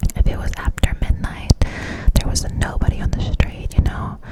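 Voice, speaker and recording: Noticeable background noise is heard throughout. A woman whispers at a moderate pace. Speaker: ASMR creator. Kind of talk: ASMR whisper ramble. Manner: whispered, close to the mic.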